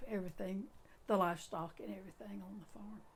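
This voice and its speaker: A woman's medium-pitched voice with a Southern US accent and audible room echo. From Suwannee County, Florida. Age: 90s. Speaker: oral history interviewee. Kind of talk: oral history interview. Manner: halting.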